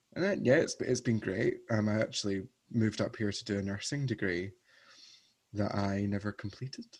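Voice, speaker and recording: A man talks at a fairly quick pace with a Scottish accent. His voice is fairly low, with fairly even intonation. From Scotland, Paisley near Glasgow. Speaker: drag performer. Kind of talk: casual chat.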